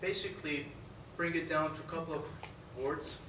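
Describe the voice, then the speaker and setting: Over noticeable background noise and audible room echo, a man speaks in a fairly high pitch with monotone, flat intonation. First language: not English. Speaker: pilot examiner. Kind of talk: award presentation speech. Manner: halting.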